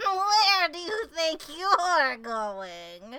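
The put-on character voice sits at an extremely high pitch with very wide pitch swings. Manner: spooky, ominous.

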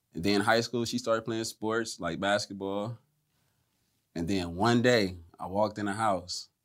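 At a fairly slow pace, a man with a fairly low pitch talks in an ordinary speaking voice. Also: fairly even intonation. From US East Coast. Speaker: rapper. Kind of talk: casual chat. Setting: kitchen.

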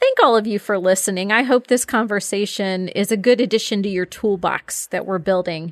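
A woman's normal speaking voice at medium pitch, fairly quick with hardly any pauses and fairly even intonation, in a dry, close sound with no echo. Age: 50s. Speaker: podcast host on aging and caregiving. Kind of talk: casual interview chat.

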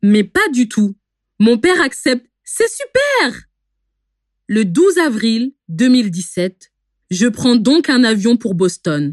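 Pausing long and often, a woman talks at a very slow pace in a fairly high pitch with very wide pitch swings, recorded dry and close with no echo. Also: very even loudness. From France, parents from Benin. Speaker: storyteller. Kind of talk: scripted narration.

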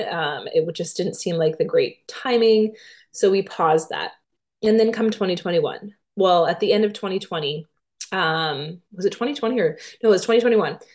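Over a quiet background, a woman uses an ordinary speaking voice at a fairly slow pace, her pitch medium and its variation ordinary. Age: 30s. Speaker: podcast host and fitness instructor. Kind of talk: solo podcast monologue. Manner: casual, many filler words.

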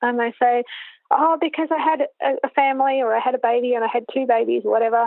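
A high-pitched woman's voice in an Australian accent, very fast in pace and very even in loudness. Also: ordinary pitch variation. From Australia, Canberra. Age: 40s. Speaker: riding coach. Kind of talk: interview.

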